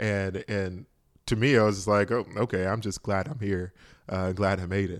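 Recorded very cleanly against a silent background, a man with an unremarkable speaking voice talks at a fairly low pitch with ordinary pitch variation. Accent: American. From US South, rural south Georgia. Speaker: psychologist. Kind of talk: casual interview.

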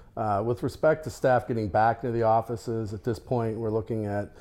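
Against a very clean recording with a silent background, a man with a fairly low pitch and a dark, mellow tone talks at a fairly quick pace with fairly even intonation. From Colorado, US. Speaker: trade association chairman, scrap yard owner. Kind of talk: interview.

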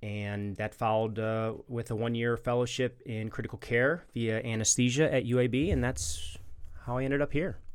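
At a moderate pace, a man with an American accent talks in a plain, everyday voice, medium in pitch with ordinary pitch variation. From Chicago, US Midwest. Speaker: emergency and critical care physician. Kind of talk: interview.

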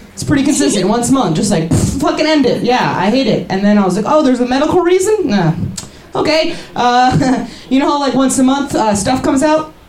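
A woman's high-pitched voice with very wide pitch swings, a fairly quick pace and noticeable background noise. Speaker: comedian. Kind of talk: stand-up. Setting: stage with audience at a pub. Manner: animated.

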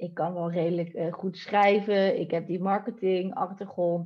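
Her pace is fairly slow. A woman talks in a monotone with flat intonation. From Netherlands, Delft. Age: 30s. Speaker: online entrepreneur. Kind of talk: podcast interview.

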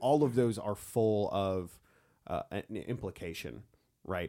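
In a very clean recording with a silent background, a man has a plain, everyday voice, fairly low in pitch with ordinary pitch variation. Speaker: podcast host. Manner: jokey, talkative.

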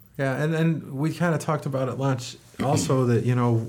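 With noticeable background noise, a man talks at a fairly quick pace using fairly even intonation. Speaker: podcast host. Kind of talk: casual interview.

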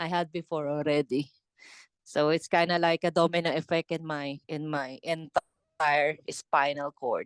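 The speaker has a Filipino accent and talks at a fairly slow pace. The background is quiet. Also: woman, very deep, low pitch for a woman. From Philippines. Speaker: heavy metal drummer. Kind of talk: interview. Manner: halting, many fillers and repetitions; laughs often, enthusiastic.

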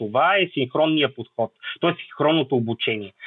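Using a plain, everyday voice, a man speaks at a fairly quick pace with lively intonation. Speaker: mathematics teacher and crisis management expert. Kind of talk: podcast interview.

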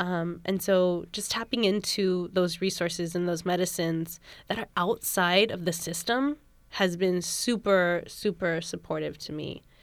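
In a Californian accent, a woman speaks at a fairly slow pace with fairly even intonation. The recording is very clean and the background silent. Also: medium pitch for a woman. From US West Coast, San Francisco. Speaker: doula. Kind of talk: casual chat.

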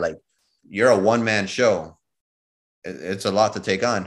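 Over a quiet background, a man uses an ordinary speaking voice at a moderate pace with fairly even intonation. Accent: American. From Chicago. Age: 30s. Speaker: DJ and music producer. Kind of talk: interview.

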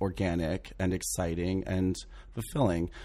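Speaking at a very deep, low pitch, a man talks with an American accent. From US South, southern Maryland. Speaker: theatre director and producer. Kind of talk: casual interview. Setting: studio.

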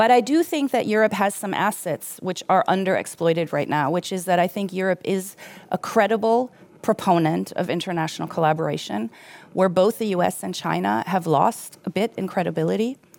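At a fairly quick pace, a woman speaks at a medium pitch with ordinary pitch variation and vocal fry. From Germany. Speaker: economic history professor. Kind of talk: panel discussion. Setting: stage with audience.

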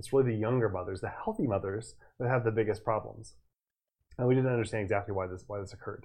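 A somewhat breathy man's voice, fairly low, at a very fast pace with fairly even intonation. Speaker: physician and evolutionary medicine educator. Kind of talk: casual science discussion, explanatory. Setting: livestream video.

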